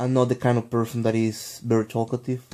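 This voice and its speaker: Speaking in a flat monotone at medium pitch, a man with a Spanish accent is heard in a very clean recording with a silent background. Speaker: vlogger. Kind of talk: casual vlog monologue. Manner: halting, many fillers and restarts.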